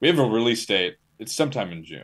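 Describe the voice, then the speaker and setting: A man with an American accent speaks at a fairly quick pace in a fairly low voice. His pitch swings very widely, with vocal fry. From Maryland, near Washington DC. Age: young. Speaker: metal musician. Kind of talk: interview.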